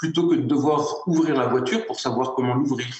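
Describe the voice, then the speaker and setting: In a Lorraine accent, a somewhat breathy man speaks with ordinary pitch variation amid audible room echo. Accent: Moselle (Lorraine) lilting. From France, Moselle. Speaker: award-winning entrepreneur. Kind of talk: interview. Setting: in-person at online ceremony. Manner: hesitant, many repetitions.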